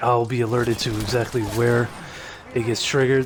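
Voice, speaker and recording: The speech has a monotone, flat intonation over noticeable background noise. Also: man. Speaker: gaming video creator. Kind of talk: gameplay commentary. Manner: halting, many fillers.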